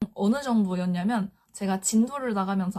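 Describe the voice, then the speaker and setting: A somewhat breathy woman's voice moves along very slowly. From Japan. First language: Japanese (speaking Korean). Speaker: office worker sharing study tips. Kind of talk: vlog-style explanation. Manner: hesitant with frequent fillers.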